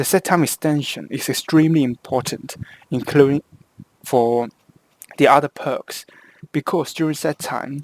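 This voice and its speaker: A man speaks with a Hong Kong accent. His pitch is fairly high and his intonation fairly even. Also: dry, close sound with no echo. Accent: Hong Kong Cantonese-accented English. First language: Cantonese. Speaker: video game guide creator. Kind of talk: tutorial. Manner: halting, with frequent self-corrections.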